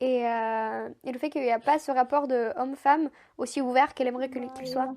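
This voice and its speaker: A woman talks at a fairly quick pace in a high pitch, her intonation monotone and flat. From Moldova (Chisinau). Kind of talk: podcast interview answer, personal storytelling. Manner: casual, conversational.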